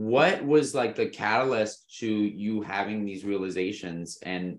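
Speaking in an ordinary speaking voice, a man lets his pitch vary in an ordinary way. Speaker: podcast host. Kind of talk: casual interview.

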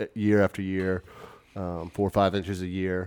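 A man's very deep, low pitch in monotone, flat intonation, on a very clean recording with a silent background. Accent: Southern US. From US South, Memphis, Tennessee. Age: 30s. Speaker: purchaser at a beverage distributor. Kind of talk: interview.

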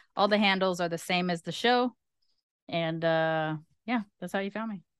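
A woman with an American accent speaks in a plain, everyday voice at medium pitch and a fairly quick pace, with ordinary pitch variation. The sound is dry and close with no echo against a quiet background. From Los Angeles, US. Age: 40s. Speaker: content creator and travel show host. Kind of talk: casual chat.

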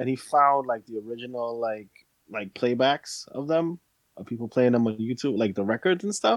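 A man speaks in an ordinary speaking voice at a moderate pace with ordinary pitch variation. The sound is dry and close, with no echo. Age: 40s. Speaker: podcast co-host. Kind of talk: casual chat.

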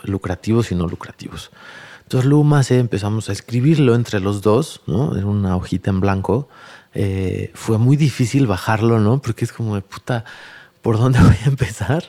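A man's fairly low, dark and mellow voice at a moderate pace, on a very clean recording with a silent background. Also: ordinary pitch variation. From Mexico City area (Tlalnepantla periphery). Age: 40s. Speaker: sustainable development entrepreneur. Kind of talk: interview conversation.

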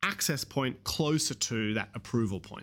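Speaking with an Australian accent, a man uses lively intonation. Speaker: haematology researcher.

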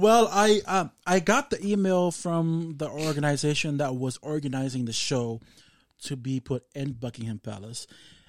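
With a Samoan accent, a man speaks at a moderate pace, his fairly high pitch carried by lively intonation. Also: very clean recording, silent background. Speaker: fashion designer. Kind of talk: casual interview.

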